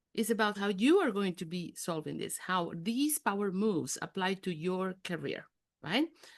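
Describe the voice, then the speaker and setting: In a Spanish accent, the speaker uses lively intonation at a moderate pace against a quiet background. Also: woman. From Mexico City. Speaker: executive coach. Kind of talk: interactive online workshop talk. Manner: animated.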